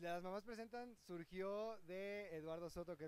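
A man at a moderate pace with ordinary pitch variation, in a dry sound with no echo. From Mexico, Cancún. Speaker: comedic stage actor. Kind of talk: casual interview. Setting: outdoors outside a theater. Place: street. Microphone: handheld.

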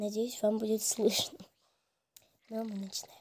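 A woman speaks at a medium pitch with little pitch movement. Her voice carries a slightly husky edge. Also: moderate pace.

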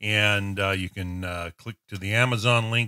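Against a quiet background, a man speaks at a fairly low pitch. His pace is moderate and his pitch varies in an ordinary way. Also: dry sound with no echo. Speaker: online show host. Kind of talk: casual show host talk. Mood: warm, slightly hesitant.

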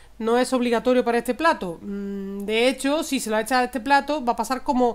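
Ordinary pitch variation marks a woman's voice as she speaks at a moderate pace. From Spain, Andalusia (Córdoba province); Andalusia. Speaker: cooking channel host. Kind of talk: cooking tutorial. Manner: warm, chatty with frequent diminutives. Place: kitchen.

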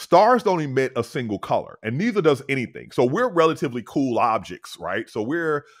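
Against a quiet background, a man speaks at a moderate pace with lively intonation. The sound is dry, with no echo. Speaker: podcast guest. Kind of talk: explanatory podcast talk. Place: home room. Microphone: studio mic.

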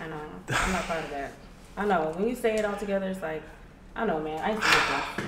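Over noticeable background noise, a woman with an American accent speaks at a medium pitch and a fairly quick pace, with ordinary pitch variation. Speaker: influencer. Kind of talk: casual chat. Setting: livestream.

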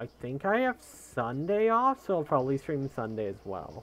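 A man's plain, everyday voice, with lively intonation and a fairly slow pace. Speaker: video game streamer and speedrunner. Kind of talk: live-streamed gameplay commentary. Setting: live stream from a home setup. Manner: casual and chatty.

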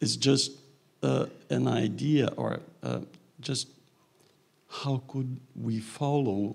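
A man speaks with vocal fry. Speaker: audience member asking question; audience member. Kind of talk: Q&A question. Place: hall.

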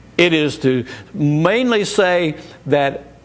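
A man talks with lively intonation. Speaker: bible teacher. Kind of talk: sermon-style teaching. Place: studio. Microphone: lapel.

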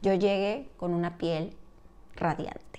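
A woman with a fairly low voice speaks fairly slowly. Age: 30s. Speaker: beauty vlogger. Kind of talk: product review tutorial. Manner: animated. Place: home room. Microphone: lapel.

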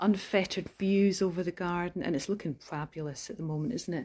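A woman speaks at a moderate pace in a dark, mellow, somewhat breathy tone with ordinary pitch variation. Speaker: holiday cottage host. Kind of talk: casual tour narration. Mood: enthusiastic, admiring. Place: home room. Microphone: phone near.

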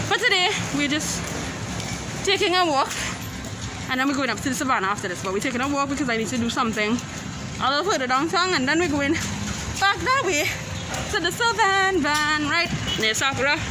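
Speech comes at a fairly quick pace. Crowd noise sits in the background. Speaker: vlogger mother. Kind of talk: casual vlog chat. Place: street. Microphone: phone near.

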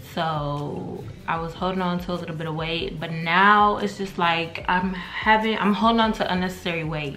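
Over light background noise, a woman uses an ordinary speaking voice, fairly low in pitch, with fairly even intonation. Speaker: vlogger. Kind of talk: casual vlog chat. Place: kitchen. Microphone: phone near.

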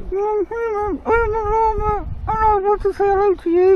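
An extremely high-pitched, put-on character voice moves at a fairly slow pace over clear background noise. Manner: playful animal imitation.

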